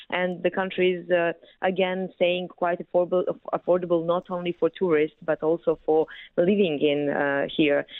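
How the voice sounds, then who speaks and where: Using monotone, flat intonation, a woman talks at a fairly low pitch and a moderate pace. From Montenegro. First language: Montenegrin. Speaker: travel guide representative. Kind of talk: radio interview. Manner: halting, many fillers.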